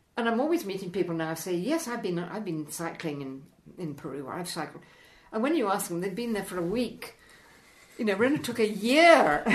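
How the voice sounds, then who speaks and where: This woman talks at a fairly quick pace in a medium pitch, her voice making very wide pitch swings. Noticeable background noise and audible room echo fill the recording. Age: 90s. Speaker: mountaineer and polar explorer. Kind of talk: casual interview chat. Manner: animated; halting.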